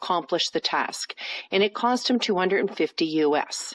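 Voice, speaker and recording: Recorded dry and close with no echo, a woman with an ordinary speaking voice talks at a moderate pace, her pitch medium and her intonation lively. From Canada. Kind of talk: narrated report.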